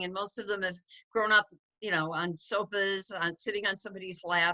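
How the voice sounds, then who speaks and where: A woman talks at a fairly quick pace in a medium pitch, her intonation fairly even. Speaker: dog sanctuary founder. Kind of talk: online informational meeting. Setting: video call. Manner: loud; fast.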